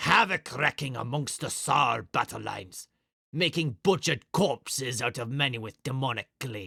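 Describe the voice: Pitch shifts in an ordinary way during this plain reading aloud. Little else is heard, as the background is quiet.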